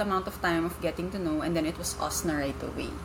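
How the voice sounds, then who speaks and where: Audible room echo follows a woman speaking with ordinary pitch variation. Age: 20s. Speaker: marketing professional, former teacher. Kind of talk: casual chat. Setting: in person.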